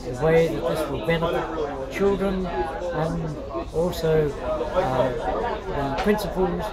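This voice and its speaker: The speech moves at a very slow pace over loud background noise. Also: man. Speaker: osteopath and lifestyle consultant. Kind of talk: workshop announcement talk. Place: cafe.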